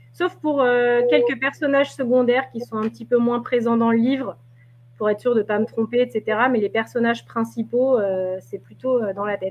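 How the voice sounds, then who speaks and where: Pitch varies in an ordinary way as the words come at a fairly quick clip. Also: woman. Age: 30s. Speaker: novelist. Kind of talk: interview. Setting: live video stream. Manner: halting.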